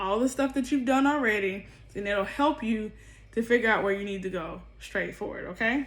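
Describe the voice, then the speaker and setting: A woman speaks in a normal speaking voice at a fairly high pitch, with ordinary pitch variation. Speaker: tarot reader. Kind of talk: tarot reading monologue.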